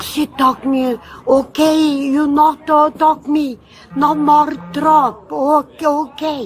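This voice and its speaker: A woman's high-pitched voice at a very slow pace, with ordinary pitch variation and noticeable background noise. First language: Bulgarian. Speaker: elderly airline passenger, victim. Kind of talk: police questioning. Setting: airport. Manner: halting broken English.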